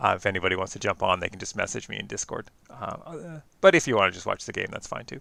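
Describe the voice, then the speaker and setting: A man speaks at a very fast pace with big swings in loudness. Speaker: game commentator. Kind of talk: live commentary. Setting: online stream. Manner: hesitant, many fillers.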